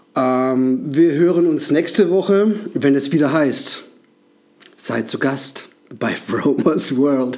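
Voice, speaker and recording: Over noticeable background noise, a man speaks very slowly at a fairly high pitch with ordinary pitch variation. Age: 40s. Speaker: podcast host. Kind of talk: casual solo monologue. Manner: halting, many filler sounds.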